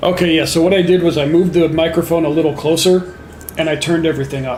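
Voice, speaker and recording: A man's very fast, high-pitched delivery in a monotone, flat intonation, with audible room echo and noticeable background noise. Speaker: gaming livestreamer. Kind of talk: casual livestream chat. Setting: home livestream with headset. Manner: hesitant, many fillers.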